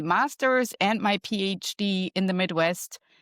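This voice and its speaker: In a very clean recording with a silent background and a dry, close sound free of echo, a woman with a German accent speaks at a medium pitch with ordinary pitch variation. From Germany. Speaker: marketing professor and wellness coach. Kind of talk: podcast interview.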